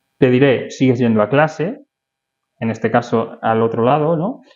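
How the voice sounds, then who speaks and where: This man has an ordinary speaking voice at medium pitch with ordinary pitch variation. He talks at a fairly slow pace. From Spain, Madrid. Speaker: podcast host, architect and real estate consultant. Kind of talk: interview. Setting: office.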